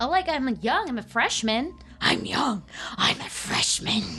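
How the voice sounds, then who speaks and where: A woman uses a put-on character voice, high in pitch with very wide pitch swings, at a moderate pace over clear background noise. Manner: menacing, then defensive.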